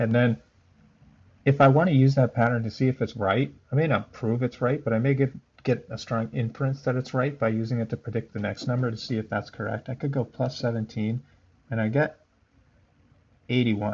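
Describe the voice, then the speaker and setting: Somewhat breathy, a man of medium pitch moves at a fairly quick pace, broken by long, frequent pauses. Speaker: math teacher. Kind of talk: tutorial. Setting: recorded instructional video. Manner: monotone.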